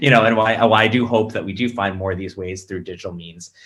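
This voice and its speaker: In an American accent, a man talks at a very fast pace. His tone is bright and sharp. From United States. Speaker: panelist at a political webinar. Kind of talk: panel discussion. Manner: hesitant, many fillers and restarts.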